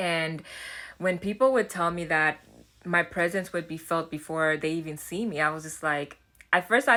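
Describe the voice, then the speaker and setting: Her tone bright and sharp, a woman speaks in a fairly low pitch with ordinary pitch variation. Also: very clean recording, silent background. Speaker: self-development YouTuber. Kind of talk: casual vlog talk. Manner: halting, with fillers and restarts.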